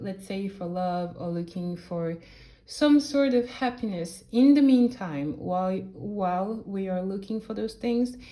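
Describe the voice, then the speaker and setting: Speaking fairly slowly in a French accent, a woman has a medium pitch, ordinary pitch variation and a dark, mellow tone. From France. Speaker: tarot reader. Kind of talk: tarot reading. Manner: halting; casual.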